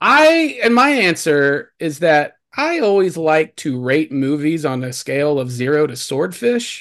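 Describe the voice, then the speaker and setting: A man with a fairly high voice speaks in an American accent at a fairly slow pace. He hardly pauses at all. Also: lively intonation. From Texas. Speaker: podcast host. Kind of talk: casual chat. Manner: animated.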